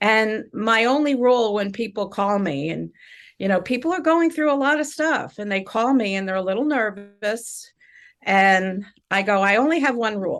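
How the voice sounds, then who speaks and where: Over music in the background, a woman talks at a moderate pace with fairly high pitch and lively intonation. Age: 70s. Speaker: shaman and spiritual healer. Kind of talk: casual interview chat.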